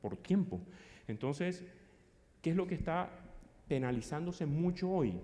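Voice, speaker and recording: Pausing long and often, a man speaks with a high pitch, a dark, mellow tone and ordinary pitch variation, and the room echo is audible. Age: 50s. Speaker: psychologist and conference speaker. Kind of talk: conference talk. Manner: fast.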